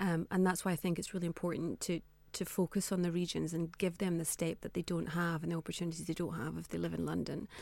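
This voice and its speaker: In a very clean recording with a silent background, a woman with a Scottish accent speaks very fast in a fairly low, monotone, flat voice. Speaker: fashion entrepreneur. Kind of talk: radio interview.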